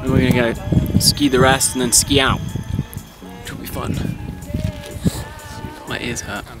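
Over loud background music, a man speaks at a fairly slow pace with long, frequent pauses, and the sound is dry with no echo. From Britain. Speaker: travel vlogger. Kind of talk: casual conversation outdoors. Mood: upbeat, slightly uncomfortable. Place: open country. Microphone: phone near.

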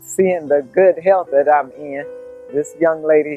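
A woman speaks at a very slow pace, with a dry sound and no echo. Faint music plays in the background. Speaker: truck driver. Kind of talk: product testimonial. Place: garden.

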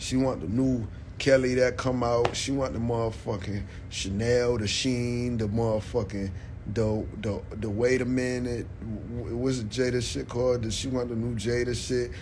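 A man speaks at a moderate pace with fairly even intonation. Light background noise runs underneath. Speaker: live streamer. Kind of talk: casual live stream rant. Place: home room. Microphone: phone near.

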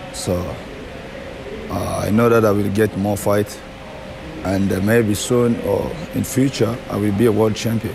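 Music plays in the background as a man with a fairly low pitch speaks at a moderate pace with fairly even intonation. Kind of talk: interview answer. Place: gym. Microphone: handheld.

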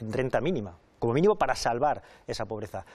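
Over a quiet background, a man races along at a very fast pace with lively intonation. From Spain. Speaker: politician, election candidate; candidate. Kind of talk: televised political debate. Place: studio. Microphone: lapel.

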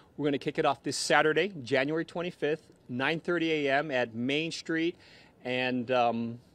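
A man talks at a moderate pace with ordinary pitch variation. The sound is dry, with no echo. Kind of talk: interview answer. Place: street. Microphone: handheld.

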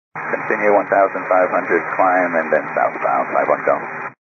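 Low-pitched man's voice at a moderate pace, with ordinary pitch variation and audible room echo.

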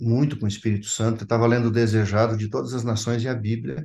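A man speaks in a dark, mellow tone that is somewhat breathy, at a medium pitch. His pace is fairly quick, and his intonation fairly even. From Santa Catarina highlands, Brazil, German colony. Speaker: pastor. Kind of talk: testimony. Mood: earnest, reflective. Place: home room. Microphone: video call.

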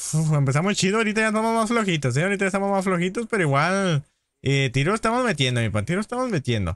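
A man's high-pitched, animated voice at a very fast pace, with very wide pitch swings, very even loudness, dry sound with no echo, and a quiet background. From northern Mexico, Baja California. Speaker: gaming streamer. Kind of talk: casual live-stream chat with gameplay. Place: home room.

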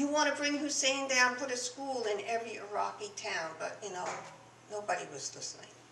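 There is audible room echo and light background noise as a woman speaks high-pitched at a fairly quick pace. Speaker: storyteller. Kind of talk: personal story told to an audience. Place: shop. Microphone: podium.

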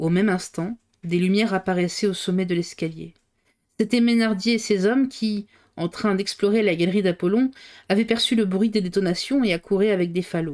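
A woman with an unremarkable speaking voice talks at a moderate pace and medium pitch, with ordinary pitch variation and very even loudness, in a very clean recording with a silent background. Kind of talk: audiobook reading aloud of a novel, live on stream. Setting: live stream. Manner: reads at a steady pace, stumbling and re-reading a few phrases.

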